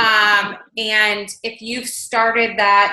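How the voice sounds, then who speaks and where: A woman talks at a fairly high pitch, and her voice carries audible room echo. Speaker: fitness coach. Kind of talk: coaching conference call. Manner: fast.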